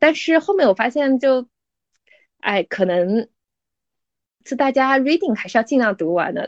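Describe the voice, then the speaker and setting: The woman's voice swings very widely in pitch. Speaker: lawyer. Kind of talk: interview. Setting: podcast.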